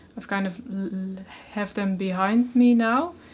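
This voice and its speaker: A woman speaks at a medium pitch and a fairly slow pace, her voice somewhat breathy. Her intonation is monotone and flat. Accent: Dutch. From Netherlands. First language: Dutch. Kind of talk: interview answer. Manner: stuttering.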